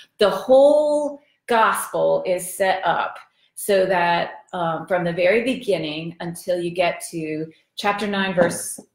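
A very slow delivery with audible room echo against a quiet background. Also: woman. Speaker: bible study teacher. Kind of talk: lecture. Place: kitchen. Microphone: camera far.

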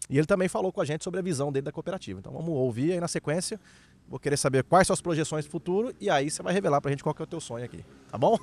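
A man's fairly high voice at a very fast pace, lively in intonation, with a dry, close sound and no echo. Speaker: interview host. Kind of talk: casual interview.

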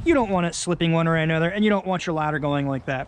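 A high-pitched man in a dry sound with no echo. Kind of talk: tutorial. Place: garden. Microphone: phone near.

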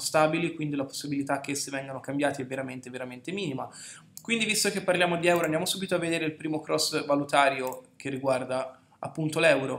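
A man talks at a very fast pace, his intonation fairly even. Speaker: market analyst. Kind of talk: market commentary tutorial.

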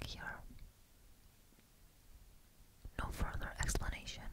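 Soft-spoken and whispering at a fairly slow pace, a woman shows big swings in loudness over light background noise. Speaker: roleplay host. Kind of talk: soft intimate roleplay talk. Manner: soft intimate ASMR whisper. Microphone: studio mic.

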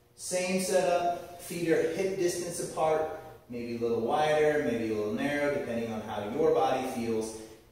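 Strong room echo surrounds a man's voice. He talks at a moderate pace with lively intonation. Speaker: fitness instructor. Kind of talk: tutorial. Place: garage. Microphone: camera far.

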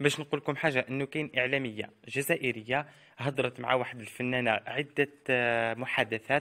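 A bright, sharp tone with an Algerian accent and fairly even intonation, recorded dry and close with no echo. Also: man. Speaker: celebrity news youtuber. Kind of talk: scripted narration.

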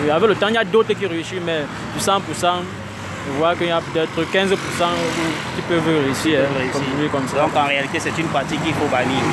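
Moderate pace and ordinary pitch variation, with dry sound, no echo and noticeable background noise. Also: man. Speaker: interviewee. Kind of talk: interview answer. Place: street. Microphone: phone near.

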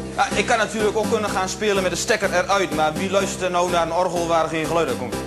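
Clear music plays in the background. A man talks at a very fast pace. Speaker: stage comedian. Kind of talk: comedy stage monologue. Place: stage.

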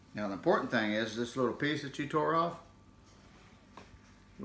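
A man with an American accent at a fairly quick pace, with very wide pitch swings, long, frequent pauses, audible room echo and light background noise. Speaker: grandfather joking demonstrator. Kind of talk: comedic demonstration to camera. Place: home room. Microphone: phone near.

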